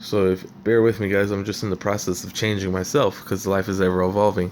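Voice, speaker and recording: Talking at a very fast pace, a man keeps a fairly low pitch and a monotone, flat intonation. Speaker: vlogger. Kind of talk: casual monologue. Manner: halting.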